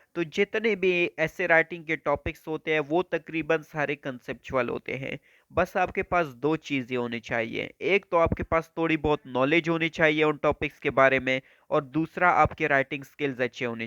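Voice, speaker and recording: Fairly high for a man, his voice has a bright, sharp tone and ordinary pitch variation. He speaks at a fairly slow pace with hardly any pauses, in a dry, close sound with no echo and a quiet background. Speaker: YouTube educator. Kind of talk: tutorial.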